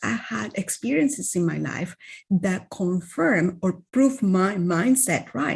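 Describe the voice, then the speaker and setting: A somewhat breathy woman speaks at medium pitch. Her pace is fairly slow. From Venezuela. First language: Spanish. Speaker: wellness coach. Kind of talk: interview.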